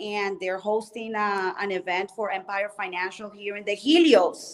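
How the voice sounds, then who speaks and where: With a Spanish accent, a woman talks at a moderate pace and a medium pitch. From Colombia. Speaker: mortgage specialist and former musician. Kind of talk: interview. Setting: hotel lobby at a convention.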